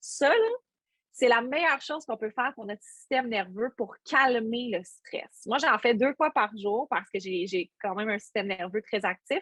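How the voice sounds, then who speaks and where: Against a quiet background, a woman speaks at a moderate pace in a fairly high pitch. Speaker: workshop instructor, stage host. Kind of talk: workshop talk; guided breathing exercise. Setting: video call. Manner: hesitant, many fillers.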